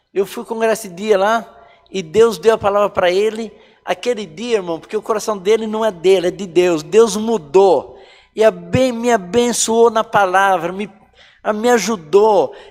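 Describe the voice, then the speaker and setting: A man speaks with a high pitch. His pace is fairly slow and his intonation fairly even. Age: 60s. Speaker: church member giving testimony. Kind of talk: testimony.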